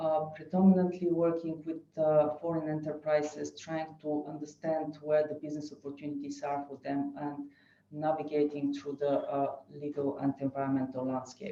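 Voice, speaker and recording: With a non-native accent, a woman speaks at a moderate pace in a very deep, low pitch and a monotone, flat intonation. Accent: non-native English speaker. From Bulgaria. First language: Bulgarian. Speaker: lawyer. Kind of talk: webinar presentation. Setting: online webinar. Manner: hesitant, many fillers.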